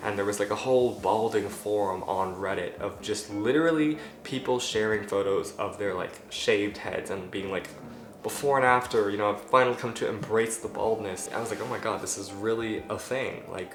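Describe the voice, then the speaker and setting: Speaking at a moderate pace over noticeable background noise, a man with a fairly low pitch keeps his intonation fairly even amid audible room echo. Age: 18. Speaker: vlogger. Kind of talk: casual vlog monologue.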